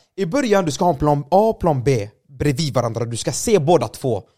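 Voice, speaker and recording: A man's fairly high, somewhat breathy voice with a dark, mellow tone and very wide pitch swings, at a moderate pace, in a very clean recording with a silent background. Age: 20s. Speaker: gaming streamer and video editor. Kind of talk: casual chat.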